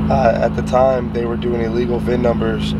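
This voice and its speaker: Over loud background noise, a man talks at a fairly quick pace, the sound itself dry with no echo. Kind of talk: interview answer. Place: car. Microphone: phone near.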